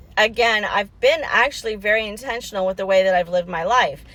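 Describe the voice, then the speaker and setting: A woman talks fairly fast in an animated tone. Background noise is noticeable. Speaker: women's empowerment coach and livestream host. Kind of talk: motivational livestream talk. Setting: parked car.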